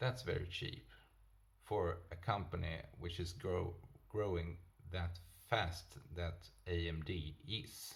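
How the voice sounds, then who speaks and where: With long, frequent pauses, a man with a non-native accent speaks in a very deep, low, somewhat breathy voice amid audible room echo. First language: not English. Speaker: stock market video host. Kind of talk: casual investment commentary. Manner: halting, many fillers and self-corrections.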